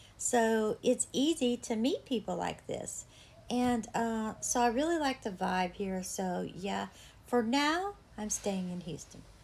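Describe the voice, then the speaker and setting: Her voice sits fairly high, with ordinary pitch variation and a somewhat breathy quality. The woman talks at a fairly slow pace. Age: 60s. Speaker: artist and home decor vlogger. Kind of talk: casual vlog tour. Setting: indoors at home, patio door open.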